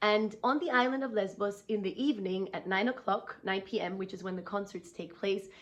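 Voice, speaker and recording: In an ordinary speaking voice, a woman talks at a fairly high pitch with ordinary pitch variation. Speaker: concert pianist. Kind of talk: casual vlog talk. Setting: backstage at a concert, intermission.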